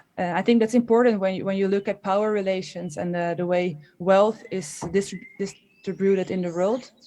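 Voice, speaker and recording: A woman speaks at a moderate pace with a Dutch accent. Her medium-pitched voice has a dark, mellow tone and fairly even intonation. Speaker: historian. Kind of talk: panel discussion. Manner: halting, many fillers and restarts.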